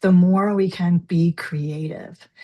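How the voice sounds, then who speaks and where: This woman has a normal speaking voice. Her pitch is fairly low and her intonation fairly even. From New Jersey. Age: 60s. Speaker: forgiveness coach. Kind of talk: interview.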